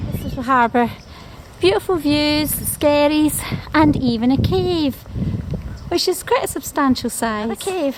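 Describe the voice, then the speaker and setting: The speech moves at a fairly slow pace with lively intonation and long, frequent pauses. Noticeable background noise is present. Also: woman, high pitch for a woman. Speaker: travel vlogger. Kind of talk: walking tour narration. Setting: outdoors on coastal walk. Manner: enthusiastic.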